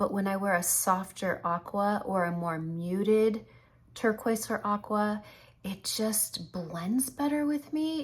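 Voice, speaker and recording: A somewhat breathy woman's voice at a medium pitch. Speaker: makeup tutorial creator. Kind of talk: makeup tutorial.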